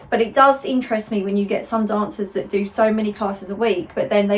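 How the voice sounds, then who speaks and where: Fairly even intonation from a woman at medium pitch, fairly quick pace, and noticeable background noise. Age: 30s. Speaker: pointe shoe fitter and video host. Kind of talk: casual interview chat.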